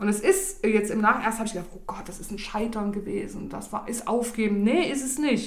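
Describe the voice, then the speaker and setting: A woman with a plain, everyday voice talks at a fairly quick pace and fairly high pitch, with ordinary pitch variation and hardly any pauses. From East Germany, Saxony (Bischofswerda). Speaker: self-employed coach, podcast guest. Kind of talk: casual interview chat.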